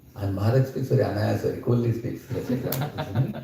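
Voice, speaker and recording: A man speaks at a medium pitch, and audible room echo surrounds his voice. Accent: Indian. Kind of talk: scripture lecture. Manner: loud.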